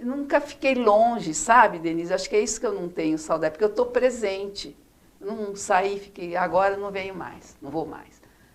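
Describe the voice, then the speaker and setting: With lively intonation, a woman speaks at a medium pitch in a plain, everyday voice. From Brazil, interior of São Paulo state (Araçatuba). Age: 60s. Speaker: former city councillor, retired chemist. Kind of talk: interview.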